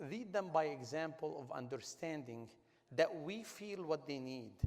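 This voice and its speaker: Lively intonation marks this man's fairly high voice. He speaks at a moderate pace with a non-native accent. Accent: foreign. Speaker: business executive and award honoree. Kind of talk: panel discussion. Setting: stage with audience at a gala. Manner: animated, emphatic.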